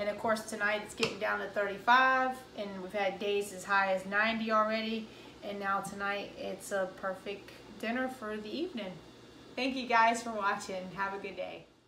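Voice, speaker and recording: A woman with an American accent speaks at a medium pitch with fairly even intonation, over noticeable background noise and with audible room echo. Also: moderate pace, big swings in loudness. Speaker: home cooking video host. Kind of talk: cooking tutorial. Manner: casual, with fillers and restarts.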